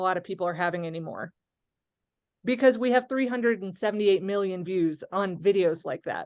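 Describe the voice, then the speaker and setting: Lively intonation and a fairly quick pace from an unremarkable speaking voice. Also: woman. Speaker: pastor and social media creator. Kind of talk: interactive webinar discussion.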